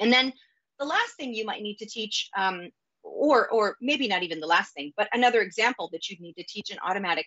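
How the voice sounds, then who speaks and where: With a West Coast American accent, a woman talks at a fairly quick pace, her fairly high pitch making very wide swings, in a dry sound with no echo and a quiet background. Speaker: data operations executive, conference speaker; conference speaker. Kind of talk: conference talk. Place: home room. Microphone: webcam.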